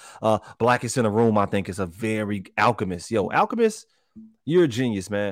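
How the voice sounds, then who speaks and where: An unremarkable speaking voice from a man, with lively intonation, a fairly quick pace and a dry, close sound with no echo. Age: 30s. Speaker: podcast co-host. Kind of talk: casual chat.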